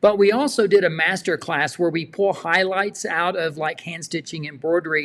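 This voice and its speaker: A man with a South Texas accent and a high pitch, at a moderate pace with hardly any pauses and ordinary pitch variation, in a very clean recording with a silent background. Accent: Southern Texas. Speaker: quilting show host. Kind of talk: casual interview. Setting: livestream.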